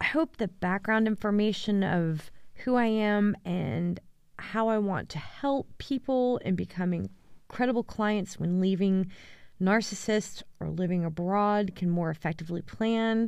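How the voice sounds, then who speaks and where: In a very clean recording with a silent background, a woman with an American accent has an ordinary speaking voice, a medium pitch, ordinary pitch variation and a fairly slow pace. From United States. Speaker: divorce coach. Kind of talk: solo podcast monologue.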